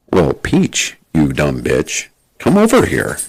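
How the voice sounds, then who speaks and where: A man talks at a fairly slow pace. He uses a put-on character voice. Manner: rude, insulting.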